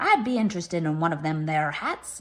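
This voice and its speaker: Using a put-on character voice, a woman talks at a very fast pace with a fairly low pitch. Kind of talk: archaic pirate speech. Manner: playful.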